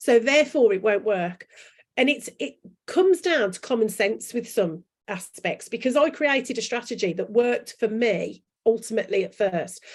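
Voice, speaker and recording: A woman with a fairly high pitch speaks at a moderate pace in an animated tone, with lively intonation and big swings in loudness. The recording is very clean, with a silent background. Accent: strong Brummie. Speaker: branding coach and author. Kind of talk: interview chat. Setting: live video chat.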